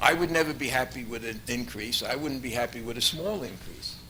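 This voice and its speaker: Noticeable background noise behind a man's fairly quick speech. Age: 70s. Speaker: public commenter at council meeting. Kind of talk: public comment speech. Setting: council meeting hall.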